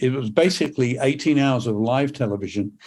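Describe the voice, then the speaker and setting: The voice carries a British accent on a very clean recording with a silent background. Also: man. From England. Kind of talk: podcast interview.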